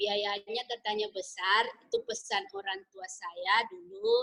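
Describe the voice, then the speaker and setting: A woman with a Malaysian accent speaks at a very slow pace. Her pitch is fairly high and her intonation fairly even. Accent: sounds Malay (Malaysian). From Indonesia. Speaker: businesswoman, former plantation worker. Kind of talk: interview. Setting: video call.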